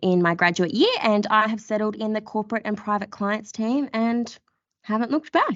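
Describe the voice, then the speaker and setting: A woman talks at a moderate pace with an Australian accent. Her pitch is fairly high, and it varies in an ordinary way. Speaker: podcast host, lawyer. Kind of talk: casual chat.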